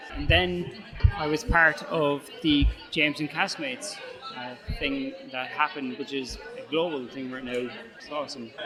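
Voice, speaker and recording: An Irish accent at a moderate pace, with long, frequent pauses, big swings in loudness and ordinary pitch variation, over music in the background and audible room echo. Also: man, fairly high pitch for a man. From Ireland. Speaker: head brewer. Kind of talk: interview. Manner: halting.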